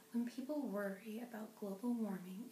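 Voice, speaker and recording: Against noticeable background noise, a woman whispers in a soft-spoken way. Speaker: ASMR creator. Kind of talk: ASMR book reading. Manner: soft-spoken, whispering.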